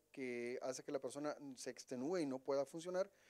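There is a quiet background. Against it, a man speaks fairly quickly with ordinary pitch variation. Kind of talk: interview answer. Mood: calm, explanatory. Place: office. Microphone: handheld.

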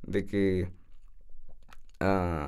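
A man speaks with a dark, mellow tone. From Peru, Tacna. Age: 20s. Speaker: university student. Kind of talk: casual interview.

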